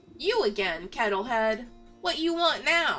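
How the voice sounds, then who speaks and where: A woman's cackling, put-on character voice, high-pitched with very wide pitch swings, at a fairly slow pace over faint music in the background. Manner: indignant, gruff.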